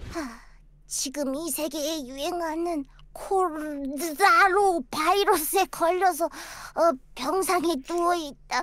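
The pace of this put-on character voice is fairly slow. Its pitch is extremely high. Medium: virtual streamer. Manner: stammering, hesitant.

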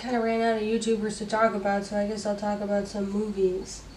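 A woman at a medium pitch with a monotone, flat intonation amid noticeable background noise. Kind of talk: casual talk to camera. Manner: relaxed, chill.

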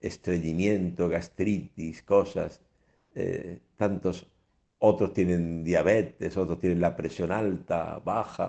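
Over a quiet background, a man talks at a very slow pace, his very deep, low pitch carrying a dark, mellow tone and a monotone, flat intonation. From Spain. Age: 70s. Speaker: priest radio host. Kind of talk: radio catechesis talk; sermon-like radio talk. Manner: conversational, with fillers and repetitions. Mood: calm, warm, reflective. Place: studio. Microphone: studio mic.

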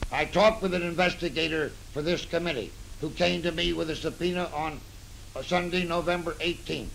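Light background noise sits under a man who speaks fairly quickly in a high voice with an American accent. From United States. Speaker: retired military general. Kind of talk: newsreel statement about testimony. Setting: old newsreel recording. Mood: grave, earnest. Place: office. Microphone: old recording.

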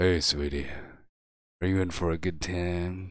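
A man in a put-on character voice talks at a moderate pace, pitched very deep and low. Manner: creepy, sleazy.

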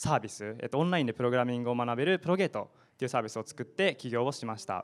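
A man speaks at a very fast pace. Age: 20s. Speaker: startup founder; panelist. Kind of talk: panel discussion. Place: classroom. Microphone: handheld.

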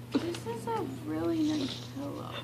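Loud background noise fills the clip. A woman speaks over it with ordinary pitch variation. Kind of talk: casual chat. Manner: drowsy, drugged, slow speech. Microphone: phone near.

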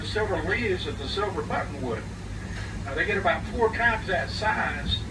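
Noticeable background noise sits behind the voice. A man talks at a moderate pace. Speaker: trolley tour guide. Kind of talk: tour guide commentary. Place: bus.

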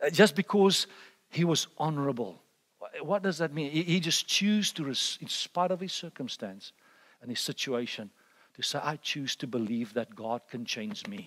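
A man's fairly high voice with very wide pitch swings, at a moderate pace. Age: 50s. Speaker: preacher. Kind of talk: sermon. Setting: church conference with audience. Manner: repetitive, stammering restarts. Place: church.

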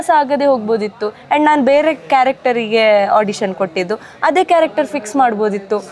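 Someone speaks with a Mangalorean accent and lively intonation over noticeable background noise. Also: woman. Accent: Mangalorean Kannada. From Mangalore, coastal Karnataka. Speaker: TV serial actress. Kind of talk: casual interview.

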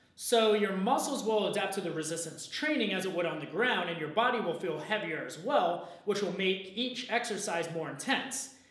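A man talks at a fairly quick pace. Audible room echo follows his words. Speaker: presenter. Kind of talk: explainer video talk. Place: gym.

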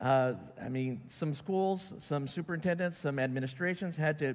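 Moving at a fairly quick pace, a man talks with fairly even intonation. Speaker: church outreach pastor. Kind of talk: sermon announcement talk. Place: church.

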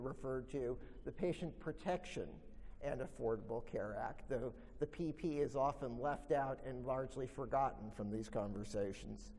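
A man speaks with vocal fry at a moderate pace. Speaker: professor giving a talk. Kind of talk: lecture. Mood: solemn tribute then expository. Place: hall. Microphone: podium.

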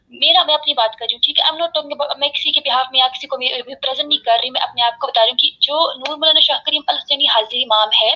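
A loud, high-pitched woman's voice at a fairly quick pace, with ordinary pitch variation and hardly any pauses. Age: 20s. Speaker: religious community member. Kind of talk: heated debate; heated debate argument. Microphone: video call.

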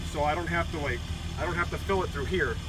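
A man is talking while music plays behind him. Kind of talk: casual tour explanation. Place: open country.

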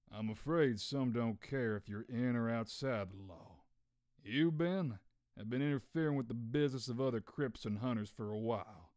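A man in a put-on character voice at a moderate pace, in a very clean recording with a silent background. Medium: dub.

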